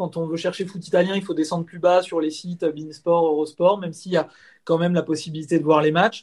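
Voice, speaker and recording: Monotone, flat delivery at a fairly quick pace. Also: man. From Paris region, France. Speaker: website editor-in-chief, Inter fan. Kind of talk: casual interview.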